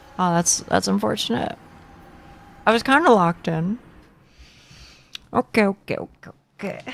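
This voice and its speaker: A woman with an American accent speaks at a moderate pace. Her speech has long, frequent pauses. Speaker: video game streamer. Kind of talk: casual live-stream chat with viewers. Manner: repeats words often.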